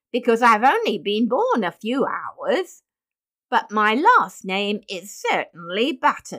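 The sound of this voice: Slow and whiny, the put-on character voice has a fairly bright tone and big pitch swings. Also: woman, medium pitch for a woman.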